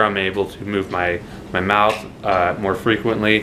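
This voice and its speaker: Over noticeable background noise, a man speaks at a fairly slow pace in a monotone, flat intonation. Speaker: vlogger. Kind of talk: casual vlog update. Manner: slurring.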